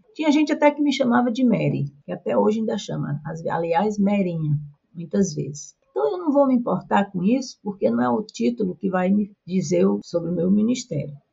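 A woman with a northeastern Brazilian accent speaks at a moderate pace in a medium pitch, her voice swinging very widely up and down and dropping into vocal fry. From Brazilian Northeast. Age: old. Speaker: retired pastor. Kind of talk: interview.

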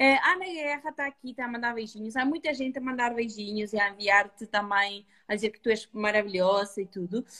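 A woman speaks at a fairly quick pace with a high pitch. Her tone is bright and sharp, with lively intonation. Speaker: retail beauty host. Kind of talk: online live beauty talk.

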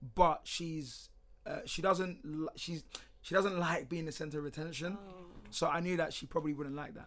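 A high-pitched man with a London accent, fairly even intonation, big swings in loudness and a moderate pace. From UK. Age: 20s. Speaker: podcast guest. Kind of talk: casual chat.

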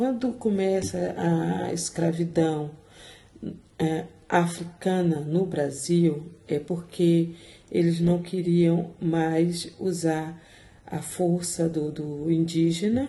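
With audible room echo, a somewhat breathy voice with a dark, mellow tone moves at a very slow pace with ordinary pitch variation. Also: woman, fairly low pitch for a woman. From Brazil, Salvador (Bahia). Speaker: mental health social worker. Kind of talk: conversational interview.

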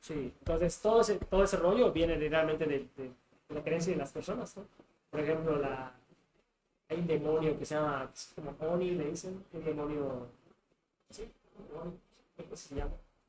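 A man with a Mexican accent speaks at a moderate pace in a fairly high pitch, with ordinary pitch variation, big swings in loudness, and long, frequent pauses. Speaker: tattoo artist. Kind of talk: casual chat.

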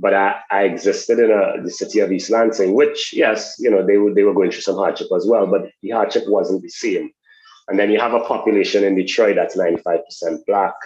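In a Trinidadian accent, a man talks at a fairly quick pace. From Trinidad and Tobago. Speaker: sports education program executive. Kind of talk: interview.

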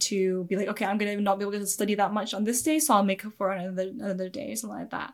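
Speaking at a very fast pace, a woman with a Scottish accent uses a medium pitch in a very clean recording with a silent background. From Scotland. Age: 20s. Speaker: YouTube anime reactor. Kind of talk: interview.

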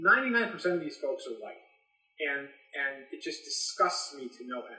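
A man's speech moves along at a moderate pace. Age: 30s. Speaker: music editor and executive. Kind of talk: interview.

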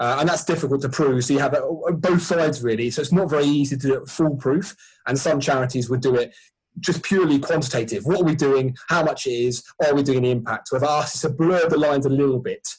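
A man with a southern English accent talks very fast in a somewhat breathy voice, his pitch fairly high with ordinary variation and his loudness very even. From Sussex, southern England. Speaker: sports ministry charity worker. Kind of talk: casual chat.

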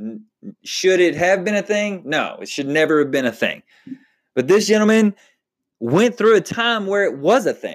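In a Texan accent, a man with a high voice talks at a moderate pace with lively intonation. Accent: Texan American English. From Texas. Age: 30s. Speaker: podcast host. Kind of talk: solo podcast monologue. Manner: casual, conversational with fillers.

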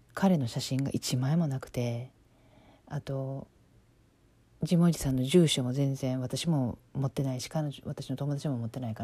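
At a moderate pace, a woman with a very deep, low pitch speaks in a somewhat breathy, dark, mellow tone with ordinary pitch variation, on a very clean recording with a silent background. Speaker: podcast host, life coach. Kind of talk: casual storytelling monologue.

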